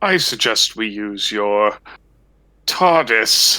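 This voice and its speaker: In a put-on character voice, a man speaks at a medium pitch and a very slow pace. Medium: audio drama. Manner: smug, drawling.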